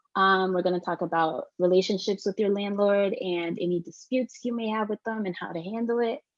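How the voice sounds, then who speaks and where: Keeping fairly even intonation and hardly any pauses, a woman at medium pitch talks at a fairly quick pace. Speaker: youth support worker. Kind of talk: online workshop presentation. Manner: fast.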